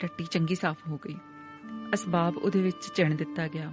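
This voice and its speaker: A woman speaking over music in the background. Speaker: voice-over artist. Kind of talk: audiobook story narration.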